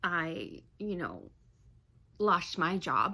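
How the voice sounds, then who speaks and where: A woman's fairly low, bright, sharp voice with vocal fry and ordinary pitch variation. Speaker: vlogger, civil engineer. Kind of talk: personal vlog, venting. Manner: halting.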